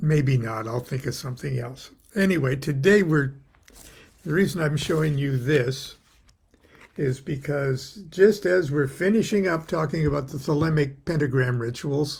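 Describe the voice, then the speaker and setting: A man speaks fairly slowly with an American accent. His fairly high voice is somewhat breathy, with ordinary pitch variation. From US West Coast, Long Beach, California. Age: 70s. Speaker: occult author and teacher. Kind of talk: casual daily livestream talk. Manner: halting, many fillers.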